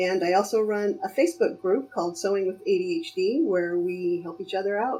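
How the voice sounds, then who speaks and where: A woman talks fairly quickly at a medium pitch with lively intonation over noticeable background noise. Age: 50s. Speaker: costume sewing creator. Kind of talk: casual chat. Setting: voice call.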